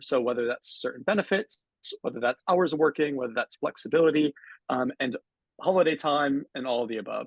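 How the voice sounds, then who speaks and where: A man with a normal speaking voice and an American accent, fairly high in pitch, with lively intonation and a fairly quick pace. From US Northeast, Connecticut. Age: 20s. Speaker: panel moderator. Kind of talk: panel discussion.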